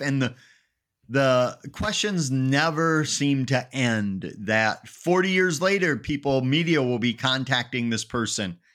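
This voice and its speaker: With lively intonation in an Upper Midwest accent, a man speaks on a very clean recording with a silent background. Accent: Upper Midwest American. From Wisconsin (Eau Claire). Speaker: paranormal researcher and author. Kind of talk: casual interview.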